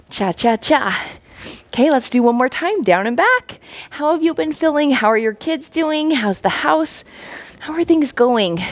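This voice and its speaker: A woman speaks in a high voice with an animated tone and very wide pitch swings. Noticeable background noise runs behind her. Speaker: fitness instructor. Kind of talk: workout instruction. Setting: home basement. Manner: fast.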